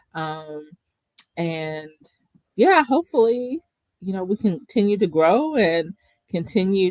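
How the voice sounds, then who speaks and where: With a Kentucky accent, a woman speaks very slowly with long, frequent pauses, medium pitch and lively intonation, in a dry, close sound with no echo. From Kentucky (Bowling Green). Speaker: podcast co-host, therapist. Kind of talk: casual chat.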